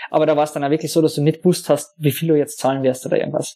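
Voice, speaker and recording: On a very clean recording with a silent background, a man speaks at a fairly high pitch with a dark, mellow tone and fairly even intonation. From Austria, Carinthia. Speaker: software developer. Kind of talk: casual interview. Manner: halting, many fillers.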